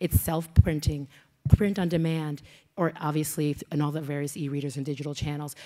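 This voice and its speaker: A woman speaks fairly quickly in a very deep, low pitch with a dark, mellow tone. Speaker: conference speaker. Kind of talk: conference talk. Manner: fast.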